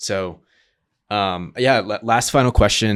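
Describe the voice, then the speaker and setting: A man with a normal speaking voice and an American accent. He speaks at a moderate pace on a very clean recording with a silent background. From US South (Georgia). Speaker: podcast host. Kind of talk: casual interview.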